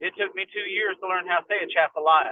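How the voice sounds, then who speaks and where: A man with a Kentucky accent speaks at a moderate pace. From southeastern Kentucky. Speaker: firearms and medical instructor. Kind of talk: casual chat.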